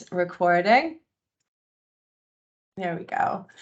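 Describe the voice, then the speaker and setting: A woman with a Boston accent speaks at a fairly slow pace. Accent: Boston American. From US Northeast, Boston. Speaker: membership engagement manager. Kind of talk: online induction presentation.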